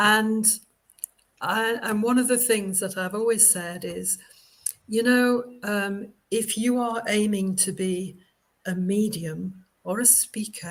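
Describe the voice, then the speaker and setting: A woman's fairly high, somewhat breathy voice, very slow in pace, with fairly even intonation. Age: 70s. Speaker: spiritualist medium and minister. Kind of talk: casual interview chat. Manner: hesitant, many fillers.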